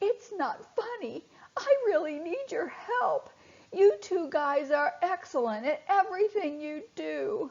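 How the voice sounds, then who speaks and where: Putting on a character voice, the woman speaks fairly slowly at an extremely high pitch. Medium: read story. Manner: stuttering.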